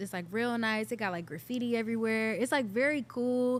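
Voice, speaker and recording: A woman talks at a fairly quick pace in a normal speaking voice with ordinary pitch variation. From Cleveland, Ohio. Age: 20s. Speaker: singer-songwriter. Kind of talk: interview answer.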